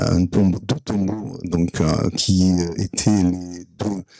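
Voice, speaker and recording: In a Provençal accent, a man with a very deep, low voice speaks very slowly with ordinary pitch variation and a dry, close sound with no echo. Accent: Provençal southern French. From Provence, southern France. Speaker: audience member. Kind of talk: conference Q&A remark. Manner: halting, many hesitations.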